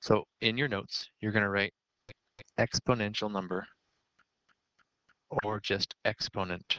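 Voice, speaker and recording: A bright, sharp tone in monotone, flat intonation, at a fairly slow pace with long, frequent pauses and a dry, close sound without echo. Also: man, fairly low pitch for a man. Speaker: math teacher. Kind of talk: lecture.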